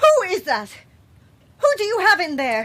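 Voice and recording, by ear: A woman's put-on character voice, extremely high and fairly bright, with very wide pitch swings at a fairly slow pace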